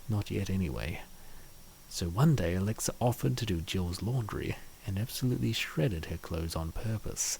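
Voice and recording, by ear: Low-pitched male voice with vocal fry, a slightly mellow tone, lively intonation and a moderate pace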